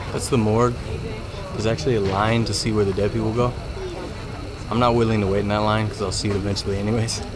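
Very fast speech over noticeable background noise. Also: man. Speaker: travel vlog host. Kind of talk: casual vlog chat. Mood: joking, playful. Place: street. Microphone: phone near.

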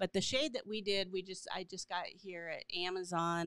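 A woman talks at a moderate pace with fairly low pitch, ordinary pitch variation, and a fairly bright, clear, smooth tone, recorded with a dry, close sound and no echo.

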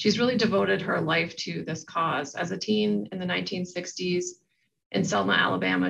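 A woman talks with vocal fry over light background noise. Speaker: event moderator at a law school. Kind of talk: moderated panel webinar. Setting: online webinar. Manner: halting, many filler words. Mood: earnest, measured. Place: office. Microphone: webcam.

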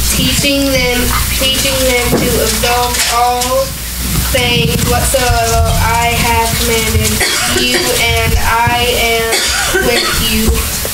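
Very slow speech with long, frequent pauses over music in the background. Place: church.

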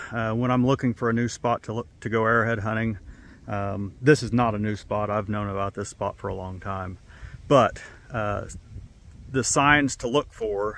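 Recorded dry with no echo, a man talks at a moderate pace with fairly even intonation. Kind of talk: casual vlog chat. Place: open country.

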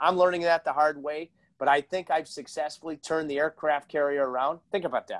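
Over a quiet background, a man speaks in an animated tone. His pitch is fairly high. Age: 40s. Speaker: hockey broadcaster and podcast host; podcast host. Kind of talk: casual interview chat. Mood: jovial, storytelling. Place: home room.

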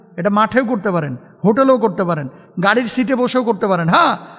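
A man's voice, high in pitch, with ordinary pitch variation. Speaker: Islamic preacher. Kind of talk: sermon. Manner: animated.

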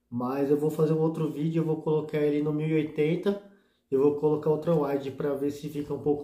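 A dark, mellow tone in monotone, flat intonation at a moderate pace, with audible room echo. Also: man. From Brazil. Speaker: motovlog youtuber; motovlogger. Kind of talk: casual product tutorial vlog. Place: home room.

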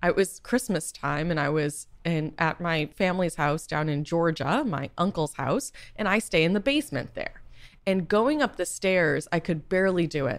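Here is a woman with an unremarkable speaking voice and an American accent, pitched fairly low with lively intonation. The recording is very clean, with a silent background. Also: moderate pace. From Boston, US. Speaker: patient advocate and startup founder. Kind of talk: interview.

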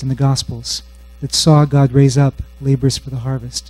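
A man at a fairly high pitch and moderate pace, somewhat breathy, with a dark, mellow tone. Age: 40s. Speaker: bible scholar and conference speaker; conference speaker. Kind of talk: sermon. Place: hall. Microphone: handheld.

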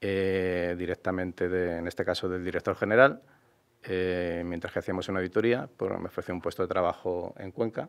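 A man's very deep, low voice at a moderate pace over a quiet background. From Madrid, Spain; Spain. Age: 50s. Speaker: mayoral candidate; candidate. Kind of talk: interview. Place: studio. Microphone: studio mic.

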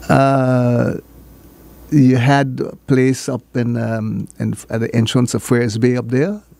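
In a dry sound with no echo, a man speaks at a very slow pace with ordinary pitch variation. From St. Martin (French side, Marigot). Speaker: former island politician and educator. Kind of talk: interview. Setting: radio studio. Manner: halting. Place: studio. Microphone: studio mic.

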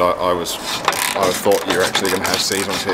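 A man talks at a fairly quick pace. Loud background noise runs behind him. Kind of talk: explaining repair to customer. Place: workshop. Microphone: camera far.

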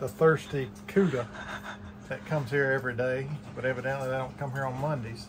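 Noticeable background noise behind a man's fairly quick speech, his pitch varying in an ordinary way. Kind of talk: casual vlog chat. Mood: wry, amused storytelling. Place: boat.

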